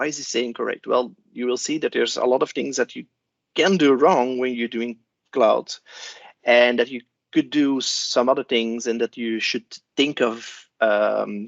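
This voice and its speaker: With a Flemish accent, a man speaks at a moderate pace and medium pitch, keeping his intonation fairly even. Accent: Belgian (Flemish) English. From Belgium. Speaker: cloud solution architect. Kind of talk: conference talk. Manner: hesitant, many fillers.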